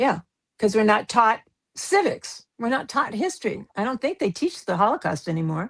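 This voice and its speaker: A somewhat breathy voice with very wide pitch swings moves at a moderate pace, in a dry, close recording with no echo. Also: woman, fairly high pitch for a woman. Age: 80s+. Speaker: documentary filmmaker. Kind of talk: casual chat.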